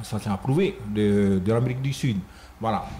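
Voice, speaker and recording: A man speaks over light background noise. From French Polynesia. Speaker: dance troupe leader; guest. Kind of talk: radio interview. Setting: radio studio. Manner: halting, many repetitions. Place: studio. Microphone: studio mic.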